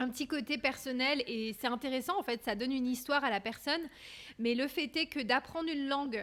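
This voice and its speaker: A woman speaks at a high pitch and a fairly quick pace. Her ordinary pitch variation comes through a very clean recording with a silent background. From France. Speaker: podcast host. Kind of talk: interview conversation.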